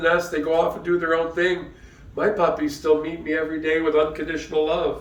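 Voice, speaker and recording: A man with an American accent speaks in a fairly high pitch, with audible room echo and noticeable background noise. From US Midwest, Detroit area, Michigan. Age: 60s. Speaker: pastor. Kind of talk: sermon. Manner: conversational, with frequent fillers.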